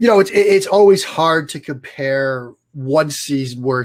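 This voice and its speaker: A man speaks with ordinary pitch variation. The recording is very clean, and the background is silent. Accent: Boston. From US Northeast, Boston area. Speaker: football analyst. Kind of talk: interview.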